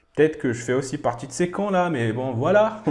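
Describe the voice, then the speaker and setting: Over music in the background, a man speaks fairly slowly with very wide pitch swings. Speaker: anime reaction youtuber. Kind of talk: anime reaction commentary. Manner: casual, chatty.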